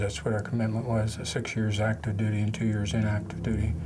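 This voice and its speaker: With an American accent, a man speaks at a fairly low pitch with fairly even intonation, amid audible room echo and noticeable background noise. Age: 60s. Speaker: war veteran. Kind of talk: testimony. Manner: halting.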